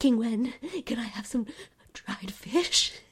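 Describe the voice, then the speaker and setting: Putting on a whiny character voice, a woman speaks at a fairly slow pace and a fairly high pitch. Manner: whiny, complaining.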